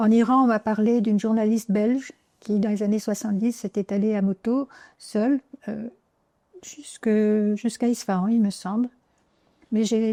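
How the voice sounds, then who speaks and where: On a very clean recording with a silent background, a woman with a fairly high pitch and a dark, mellow tone speaks at a moderate pace with fairly even intonation and long, frequent pauses. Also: dry, close sound with no echo. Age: 80s+. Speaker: motorcycle traveler and author. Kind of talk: interview.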